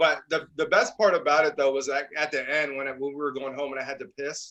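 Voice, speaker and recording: This man speaks loudly at a fairly quick pace, his pitch fairly high. His tone is bright and sharp. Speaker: podcast co-host. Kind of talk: casual chat. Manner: animated.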